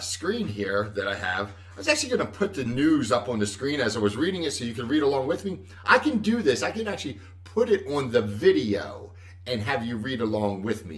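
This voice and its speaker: Lively intonation marks this man's medium-pitched voice. He talks at a fairly quick pace. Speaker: Medicare insurance advisor. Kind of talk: casual live stream talk. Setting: Facebook Live stream. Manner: loud; halting.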